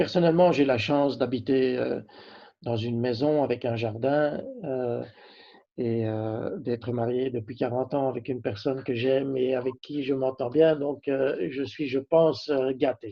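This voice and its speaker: This man talks at a fairly slow pace, keeping a medium pitch and fairly even intonation. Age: 60s. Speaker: company CEO. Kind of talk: interview. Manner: halting, many hesitations.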